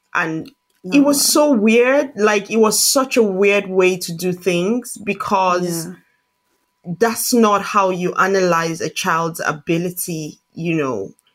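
Lively intonation at a very slow pace. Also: woman, medium pitch for a woman. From Nigeria. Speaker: coach and trainee psychotherapist. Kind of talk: interview.

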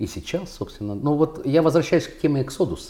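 With a dark, mellow tone and vocal fry, a man speaks at a fairly quick pace using lively intonation. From Russia. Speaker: contemporary artist. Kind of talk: casual interview conversation.

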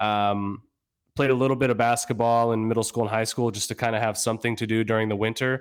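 A man rattles along at a very fast pace in a monotone, flat delivery. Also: medium pitch for a man. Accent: American. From Northern Virginia, US. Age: 30s. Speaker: flexibility coach. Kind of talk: casual interview. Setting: remote call.

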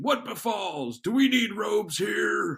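A man puts on a character voice, pitched high, and talks at a fairly slow pace. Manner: authoritative.

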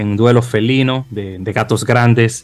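At a fairly slow pace, a man talks at medium pitch in a plain, everyday voice. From Dominican Republic, Santo Domingo. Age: 30s. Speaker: podcast host. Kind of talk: casual chat.

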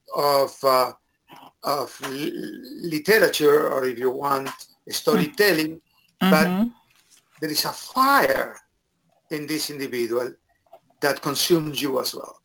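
A man with a Spanish accent, fairly slow pace, long and frequent pauses. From Argentina. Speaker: professor of education. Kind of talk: interview.

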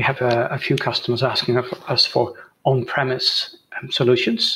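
Speaking with a Dutch accent, a man keeps a moderate pace. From Netherlands. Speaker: software entrepreneur. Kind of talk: interview. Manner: hesitant, many fillers.

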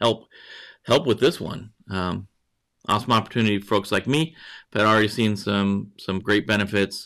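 A man's fairly low, bright, sharp voice on a very clean recording with a silent background. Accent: American. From northwest Montana, US. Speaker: cybersecurity news show host. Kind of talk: live-streamed news chat. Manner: halting, repeats words.

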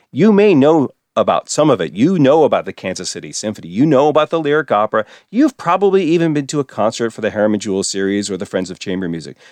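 A man with an American accent speaks at a very fast pace and medium pitch, his pitch swinging very widely, in a dry, close recording with no echo and a quiet background. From Philadelphia, US. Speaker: radio station director and broadcast engineer. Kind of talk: casual interview.

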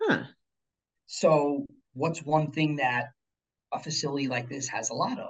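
Somewhat breathy and fairly high in pitch, a man speaks with ordinary pitch variation. His pace is fairly slow, broken by long, frequent pauses. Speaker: chef and beekeeper. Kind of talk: casual interview. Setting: video call.

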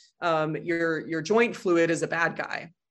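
A woman with a normal speaking voice, a fairly low pitch and an American accent is heard on a very clean recording with a silent background. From Colorado, US. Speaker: physician and author. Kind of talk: interview conversation.

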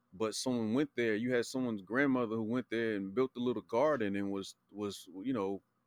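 In an American accent, a man talks at a moderate pace and a medium pitch, with fairly even intonation and an unremarkable speaking voice. The sound is dry and close with no echo, over a quiet background. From Charlotte, North Carolina. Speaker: podcast guest. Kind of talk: casual chat.

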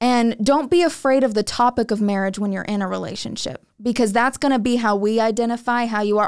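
A woman with an unremarkable speaking voice talks at a moderate pace in a fairly high pitch with ordinary pitch variation, on a very clean recording with a silent background. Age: 20s. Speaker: young wife giving a woman's perspective. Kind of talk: casual podcast discussion.

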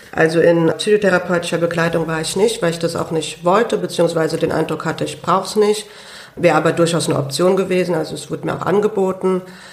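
The speech runs at a very fast pace with fairly even intonation. Noticeable background noise sits underneath. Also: woman, fairly low pitch for a woman. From Hunsrück, Rhineland-Palatinate. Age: 20s. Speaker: lung transplant patient and student. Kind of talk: interview. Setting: studio.

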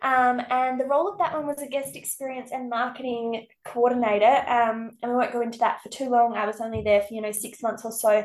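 A woman with an Australian accent talks at a fairly quick pace with hardly any pauses, her pitch high with ordinary variation. Her loudness swings widely. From South Australia, Riverland. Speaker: accommodation business owner. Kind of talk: casual interview. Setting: video call. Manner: halting.

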